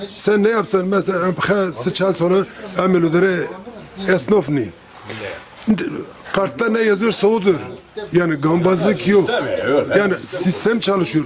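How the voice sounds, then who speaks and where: Pausing long and often, a man with a high pitch speaks at a fairly slow pace with ordinary pitch variation, amid audible room echo and noticeable background noise. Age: 60s. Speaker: emigrant worker returning home. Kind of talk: casual group conversation.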